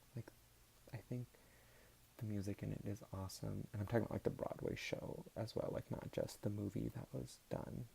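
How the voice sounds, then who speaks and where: A soft-spoken man talks at a moderate pace. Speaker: ASMR YouTuber. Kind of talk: casual talk to camera about vinyl records.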